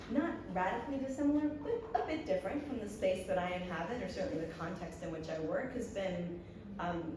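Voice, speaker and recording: Amid noticeable background noise and audible room echo, a woman talks at a fairly quick pace with very wide pitch swings. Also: medium pitch for a woman. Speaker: development studies researcher, panelist. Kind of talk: conference panel remarks. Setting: conference plenary, seated with microphone. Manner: hesitant, many fillers.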